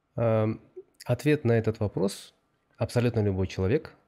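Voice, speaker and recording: The background is quiet. A man talks with a dark, mellow tone. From Kyrgyzstan. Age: 30s. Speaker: corporate strategy director; podcast guest. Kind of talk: interview. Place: studio. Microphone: studio mic.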